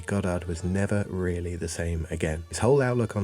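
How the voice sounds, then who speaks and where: Soft-spoken and very fast, a man talks over noticeable background noise. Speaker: video essayist. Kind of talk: video essay narration.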